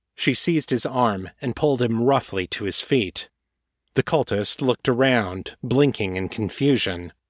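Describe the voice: A quiet background behind plain reading aloud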